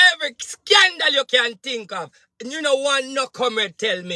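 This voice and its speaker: In a dry, close sound with no echo, a man with an extremely high pitch uses a raised, projected voice, his animated tone bright and sharp at a fairly slow pace. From Jamaica. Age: 30s. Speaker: spiritual advisor and political commentator. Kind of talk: political rant monologue.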